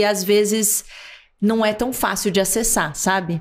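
A woman speaks at a medium pitch. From Brazil. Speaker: actress and TV presenter; podcast guest, actress. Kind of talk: interview conversation. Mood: reflective, warm. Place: studio. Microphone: studio mic.

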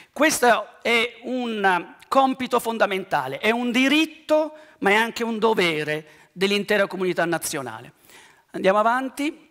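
With a bright, sharp tone and lively intonation, a high-pitched man speaks at a fairly slow pace over a quiet background. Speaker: archaeology professor. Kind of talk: lecture. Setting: stage with audience. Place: stage.

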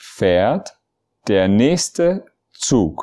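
A man speaks very slowly in a dark, mellow tone, his pitch swinging very widely, on a very clean recording with a silent background. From Germany. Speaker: language teacher. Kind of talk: tutorial. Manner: slow, clear phrase-by-phrase delivery.

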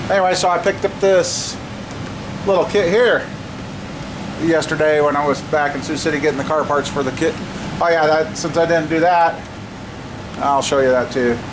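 Against noticeable background noise, a man speaks with long, frequent pauses. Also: ordinary pitch variation, moderate pace. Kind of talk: casual vlog chat. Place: garage. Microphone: phone near.

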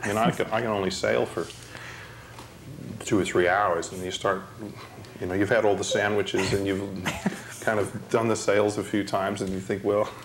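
A man speaks at fairly low pitch in monotone, flat intonation, with long, frequent pauses. Noticeable background noise runs underneath. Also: moderate pace. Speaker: interviewee. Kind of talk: interview answer. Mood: relaxed, reminiscing, laughing. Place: home room. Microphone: lapel.

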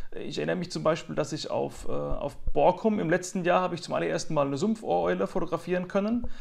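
A man talks very fast, and the background is quiet. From Mannheim, Germany; Germany. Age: 30s. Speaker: nature photographer; interviewee. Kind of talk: interview. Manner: frequent hesitations. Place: home room. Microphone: earbuds.

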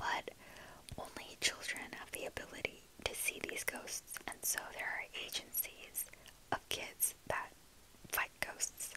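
Whispering from a woman, at a very slow pace. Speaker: ASMR book vlogger. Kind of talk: casual talk to camera, book review. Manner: chatty, casual.

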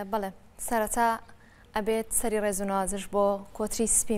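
A woman is speaking. Her pace is fairly quick. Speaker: TV presenter. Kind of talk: panel discussion remembering a colleague. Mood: solemn, respectful tribute. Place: studio.

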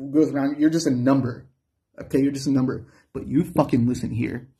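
A man speaks at a fairly quick pace in a dark, mellow, somewhat breathy tone with monotone, flat intonation. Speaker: musician and channel owner with a metabolic disorder. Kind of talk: angry profane rant at social services over denied medicine. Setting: talking to camera in a room. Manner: heated and expletive-laden, swearing at the system; rambling and tangential, stumbling over words with many uh fillers. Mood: angry, defiant, threatening. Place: home room. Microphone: phone near.

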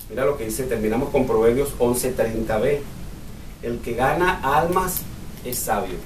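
Over light background noise and audible room echo, a man speaks at a fairly slow pace with ordinary pitch variation. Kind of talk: bible study teaching. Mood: earnest, personal testimony. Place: meeting room. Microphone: camera far.

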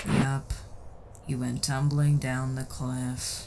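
A man puts on a character voice at a very slow pace, with clear background noise. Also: medium pitch for a man. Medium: machinima. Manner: deadpan, bored.

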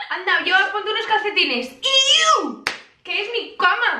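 A woman's raised, projected voice rings with audible room echo. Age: young. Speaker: vlogger. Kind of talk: casual talk to camera. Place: home room. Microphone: camera far.

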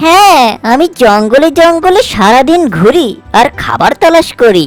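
A high-pitched cartoonish character voice over faint background music. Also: moderate pace. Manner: friendly.

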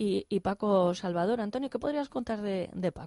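A woman with a dark, mellow tone speaks at a moderate pace in a dry, close recording with no echo. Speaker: radio host. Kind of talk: radio interview.

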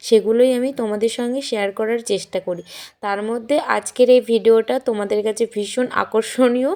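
Her intonation is fairly even. This woman's tone is dark and mellow. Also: fairly high pitch for a woman. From West Bengal, Jalpaiguri district (north Bengal). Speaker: village housewife vlogger. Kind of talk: casual vlog talk to camera.

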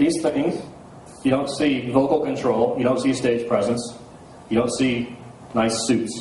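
Heard with audible room echo and light background noise, a man speaks at a moderate pace with ordinary pitch variation. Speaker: conference speaker. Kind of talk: lecture. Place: hall. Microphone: handheld.

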